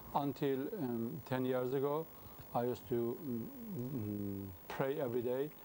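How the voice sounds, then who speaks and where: A man speaks with a Persian accent. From Iran, Mashhad. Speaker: convert sharing his testimony. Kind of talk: interview testimony. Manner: halting.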